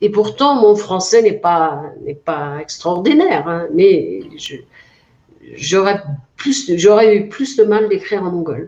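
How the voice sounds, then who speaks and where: The speaker talks at a very slow pace, with very wide swings in pitch. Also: woman, medium pitch for a woman, big swings in loudness. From Mongolia, Altai region. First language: Mongolian (speaking French). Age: 40s. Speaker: author. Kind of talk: interview. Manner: hesitant, many fillers.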